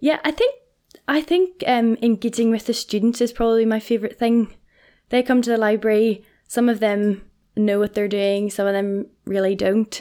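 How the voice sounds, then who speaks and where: Over a silent background on a very clean recording, a woman with a Northern Irish accent talks at a moderate pace in a fairly high, dark, mellow voice with very even loudness and ordinary pitch variation. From Northern Ireland, Portadown. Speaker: college librarian. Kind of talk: casual interview.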